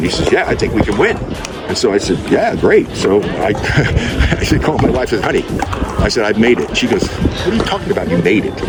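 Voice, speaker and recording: Music plays in the background. A man speaks in an animated tone at a moderate pace. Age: 80s+. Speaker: retired basketball player and pickleball competitor. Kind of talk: interview answer. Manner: casual, animated storytelling.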